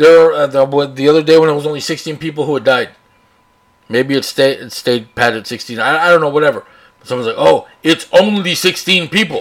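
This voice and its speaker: A man speaks at a fairly quick pace in a fairly high pitch with ordinary pitch variation. His loudness swings widely. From US South, Texas (Rio Grande Valley, Brownsville). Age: 40s. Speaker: podcast host. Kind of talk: editorial rant. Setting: home studio with open window, traffic noise. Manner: casual, unscripted.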